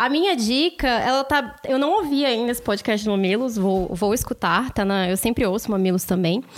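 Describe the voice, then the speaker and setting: With an unremarkable speaking voice, a woman talks at a moderate pace and fairly high pitch, with lively intonation, very even loudness and hardly any pauses. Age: 20s. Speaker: professional storyteller. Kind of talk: casual chat.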